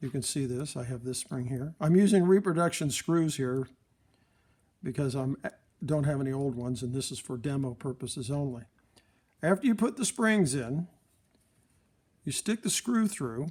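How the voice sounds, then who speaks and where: A man with a fairly high, somewhat breathy voice and lively intonation talks at a moderate pace, pausing long and often. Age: 60s. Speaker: phonograph repairer. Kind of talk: tutorial. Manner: casual, rambling.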